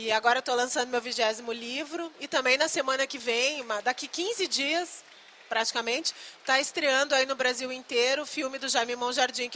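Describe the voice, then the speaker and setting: A woman with a strong southern Brazilian accent speaks in a high, raised, projected voice. Noticeable background noise runs underneath. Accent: gaúcho, strong. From Rio Grande do Sul, Brazil. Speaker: novelist and screenwriter. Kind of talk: live talk with audience. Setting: book fair stand with audience.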